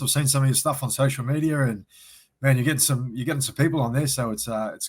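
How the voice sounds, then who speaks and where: On a very clean recording with a silent background, a man with an Australian accent speaks very fast in a somewhat breathy, monotone, flat voice at a medium pitch. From Sydney, Australia. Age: 40s. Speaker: former rugby league player. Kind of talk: casual interview.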